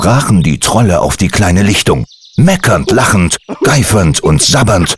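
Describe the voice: What you hear is plain reading aloud.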